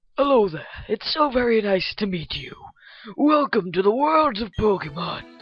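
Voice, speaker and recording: In a put-on character voice, a female-sounding speaker uses a fairly high pitch at a moderate pace. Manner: bad, put-on old man voice.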